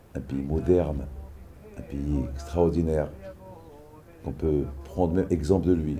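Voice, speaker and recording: A man's very deep, low pitch at a fairly slow pace, with long, frequent pauses, audible room echo and music in the background. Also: fairly even intonation. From Morocco. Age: 60s. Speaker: pilgrimage organizer. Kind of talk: interview testimony.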